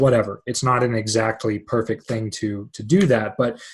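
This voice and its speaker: A man speaks in a somewhat breathy voice. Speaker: astrologer. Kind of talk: lecture. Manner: fast.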